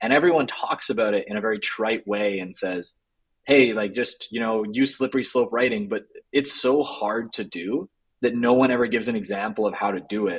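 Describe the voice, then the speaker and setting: An ordinary speaking voice from a man, medium in pitch with ordinary pitch variation, at a fairly quick pace. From Canada. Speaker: ghostwriting agency co-founder. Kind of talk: interview conversation.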